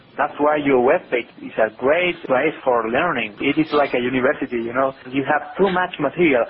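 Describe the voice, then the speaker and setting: With a Spanish accent and ordinary pitch variation, the speaker keeps a moderate pace with hardly any pauses over noticeable background noise. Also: man, fairly high pitch for a man. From Chile. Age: 30s. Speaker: entrepreneur and civil engineer. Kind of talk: business consultation.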